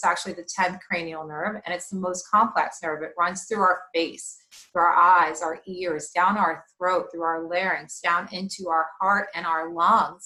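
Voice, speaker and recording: A woman with a medium pitch and fairly even intonation talks at a moderate pace while noticeable background noise plays. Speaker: mindfulness coach. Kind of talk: webinar presentation.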